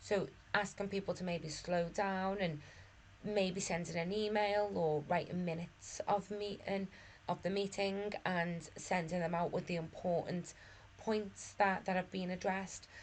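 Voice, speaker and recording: In a flat, monotone intonation, the woman talks at a fairly slow pace. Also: medium pitch for a woman. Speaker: management course tutor. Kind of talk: lecture. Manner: hesitant, with fillers and repeats.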